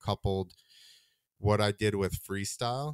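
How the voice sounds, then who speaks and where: A man with an American accent speaks at a moderate pace in a very clean recording, the sound dry and close with no echo against a silent background. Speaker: freestyle motocross rider turned comedian. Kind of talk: casual chat. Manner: monotone.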